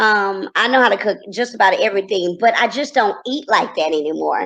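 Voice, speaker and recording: A woman speaks at a fairly quick pace with a slight Texas accent. Her pitch is fairly high, with ordinary variation. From Texas, Corsicana. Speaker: TV personality and entrepreneur. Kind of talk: interview.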